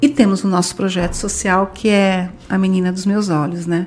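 A woman's somewhat breathy voice at a medium pitch and moderate pace. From Brazil. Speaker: language school franchise director. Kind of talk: podcast interview.

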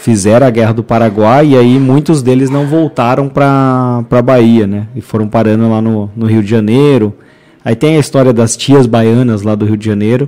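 A man's dark, mellow voice at medium pitch, with fairly even intonation and a moderate pace. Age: 30s. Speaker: podcast host. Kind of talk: casual interview.

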